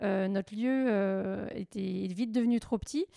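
A woman's dark, mellow voice sits at a medium pitch with fairly even intonation. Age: 40s. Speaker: cooperative entrepreneur and association volunteer. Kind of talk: casual interview. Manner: halting, many fillers.

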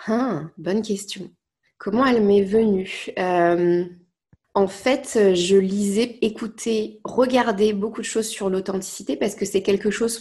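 Somewhat breathy and dark, mellow in tone, a woman speaks at a very slow pace with medium pitch and fairly even intonation. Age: 20s. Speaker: life coach. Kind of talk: casual chat.

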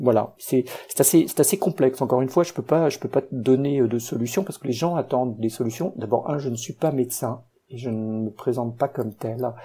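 Somewhat breathy and dark, mellow in tone, this man's voice sits at medium pitch. He speaks at a fairly quick pace. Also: ordinary pitch variation. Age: 50s. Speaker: guest sharing insomnia story. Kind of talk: interview. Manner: halting.

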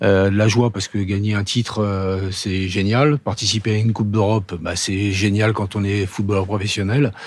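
With a fairly low pitch and monotone, flat intonation, a man talks at a moderate pace with hardly any pauses. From Paris. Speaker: former footballer. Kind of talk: interview. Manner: halting.

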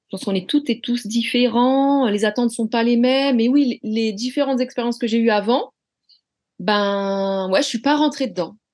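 A woman speaks at a moderate pace with fairly high pitch and ordinary pitch variation over a quiet background. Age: 40s. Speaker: flight attendant. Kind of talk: interview. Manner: halting.

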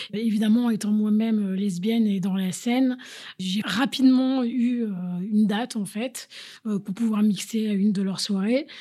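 A woman's somewhat breathy, dark and mellow voice, fairly high in pitch, at a fairly slow pace with fairly even intonation, in a very clean recording with a silent background. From Paris, France. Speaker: DJ and kickboxing teacher. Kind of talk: interview testimony.

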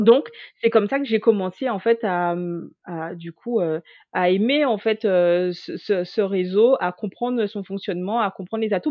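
At a fairly slow pace, a woman talks with medium pitch and ordinary pitch variation. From Guadeloupe. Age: 30s. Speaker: HR manager and LinkedIn coach. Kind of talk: interview. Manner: hesitant, many fillers.

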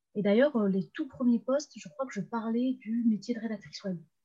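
Fairly high-pitched woman, somewhat breathy with a dark, mellow tone, at a fairly quick pace with ordinary pitch variation. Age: 20s. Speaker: freelance web writer and LinkedIn coach. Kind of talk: casual interview.

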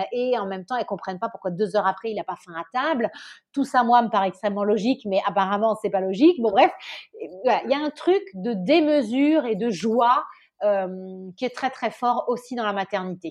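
A woman with an unremarkable speaking voice, fairly high in pitch, with lively intonation at a moderate pace. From southern France, Nice. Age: 30s. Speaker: entrepreneur. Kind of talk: interview.

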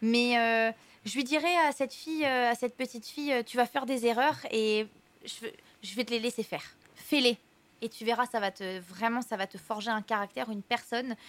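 A woman speaks at a moderate pace in an unremarkable speaking voice. Her pitch is fairly high, with ordinary variation. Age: 20s. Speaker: dancer and TV personality. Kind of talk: casual interview. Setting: restaurant cellar, recorded for livestream.

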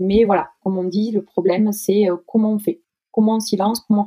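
In a dry, close sound with no echo, a woman talks at a moderate pace and medium pitch with a dark, mellow tone. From southwest France, Toulouse. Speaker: bank client manager, aspiring fundraiser. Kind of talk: interview. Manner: halting.

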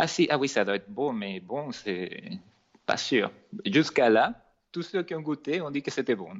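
The speaker, with a Venezuelan accent, uses vocal fry and very wide pitch swings. Long pauses come often. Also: man. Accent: noticeable Venezuelan Spanish. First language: Spanish (speaking French). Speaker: cake designer and entrepreneur. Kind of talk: podcast interview. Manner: sing-song accent.

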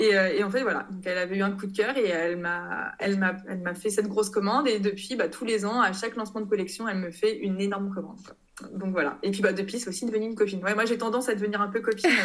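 Very fast and with hardly any pauses, a woman speaks at medium pitch with fairly even intonation and audible room echo. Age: 30s. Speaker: textile designer and online shop founder. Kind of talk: casual interview.

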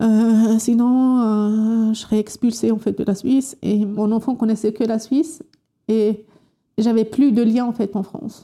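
A woman's voice is dark, mellow and somewhat breathy, pitched fairly high. She speaks fairly slowly with fairly even intonation. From Morocco, Berber oasis region. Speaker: unemployed scientist. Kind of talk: interview testimony. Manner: halting.

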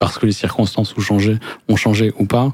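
Speaking at a moderate pace, a man delivers a dark, mellow tone with fairly low pitch and monotone, flat intonation. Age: 40s. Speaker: business lawyer. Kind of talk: interview. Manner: halting, many repetitions.

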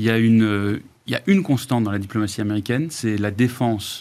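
On a very clean recording with a silent background, a man speaks at a moderate pace and medium pitch. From Germany. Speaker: former minister, lawyer. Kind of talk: panel discussion.

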